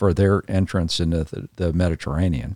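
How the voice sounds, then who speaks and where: A man's very deep, low voice with an American accent, in a dry, close sound with no echo and a very clean recording with a silent background. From Southern California, San Fernando Valley. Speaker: retired naval officer. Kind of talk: casual chat. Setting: at home.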